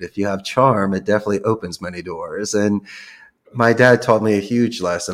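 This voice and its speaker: In a normal speaking voice with an American accent, a man talks at a medium pitch and a fairly quick pace. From US Northeast, Philadelphia. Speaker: call center CEO. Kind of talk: podcast interview.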